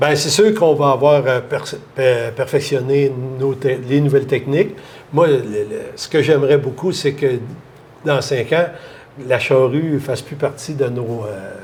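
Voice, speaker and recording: A man with a Quebec accent, fairly high in pitch, at a fairly slow pace with ordinary pitch variation and long, frequent pauses. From Quebec, Lanaudière. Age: 60s. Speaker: farmer. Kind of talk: interview. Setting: bar. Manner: halting.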